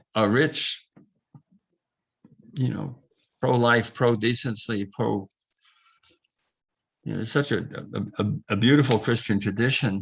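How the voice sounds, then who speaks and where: A man's medium-pitched voice with vocal fry and ordinary pitch variation, at a very slow pace with long, frequent pauses. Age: 70s. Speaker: class teacher. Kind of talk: online class discussion. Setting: video call. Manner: halting.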